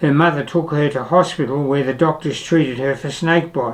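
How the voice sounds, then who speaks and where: With an Australian accent, a man speaks at a fairly high pitch that varies in an ordinary way. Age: 80s+. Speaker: retired traveller and vlogger. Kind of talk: scripted narration.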